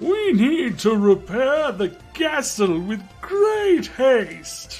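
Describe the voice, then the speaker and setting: A man uses a put-on character voice at a very slow pace. Faint music plays in the background. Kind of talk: comic overacting. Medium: virtual streamer. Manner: loud, brash.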